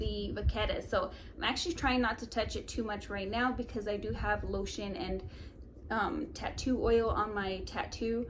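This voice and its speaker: Noticeable background noise and audible room echo are both present. Through them, a woman talks at a moderate pace. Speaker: fashion and beauty YouTuber. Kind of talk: product review vlog. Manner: animated.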